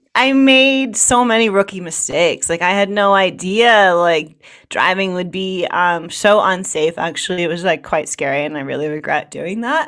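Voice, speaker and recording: With an unremarkable speaking voice and an American accent, a woman talks at a moderate pace and medium pitch with lively intonation and hardly any pauses, in a very clean recording with a silent background. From New York / New Jersey area. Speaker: journalist and author. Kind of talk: interview.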